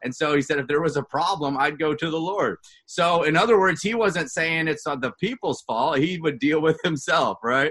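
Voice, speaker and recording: A loud male voice, fairly high in pitch, bright and sharp in tone, with ordinary pitch variation. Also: moderate pace, hardly any pauses. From Canada, Vancouver area. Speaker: pastor. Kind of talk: casual chat; sermon.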